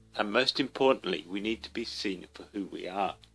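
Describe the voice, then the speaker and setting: With music playing in the background, a man of medium pitch talks fairly slowly. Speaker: writer living with Parkinson's disease. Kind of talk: reading of own essay.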